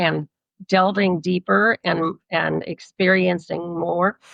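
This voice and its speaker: Fairly low-pitched female speech, very slow in pace, with fairly even intonation. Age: 80s+. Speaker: psychotherapist and past life regression therapist. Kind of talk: interview conversation.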